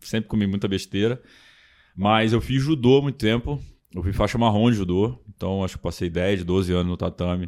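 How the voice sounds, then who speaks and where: A man's fairly low voice with a Carioca accent, at a moderate pace with ordinary pitch variation. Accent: carioca-tinged, strong S. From Brasília, Brazil. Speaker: triathlon website owner. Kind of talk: casual chat.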